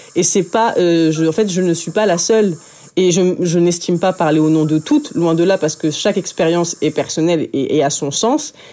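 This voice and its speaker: A woman with a fairly low pitch talks at a moderate pace, her pitch varying in an ordinary way and her loudness very even. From France, working-class suburb. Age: 20s. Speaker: journalist and author. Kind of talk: interview. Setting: recorded at an art school. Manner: halting, frequent repetitions.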